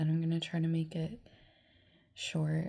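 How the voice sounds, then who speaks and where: Her voice somewhat breathy, a woman speaks at a fairly low pitch. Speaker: vlogger. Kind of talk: personal testimony vlog. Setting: lying in bed. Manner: slow; halting.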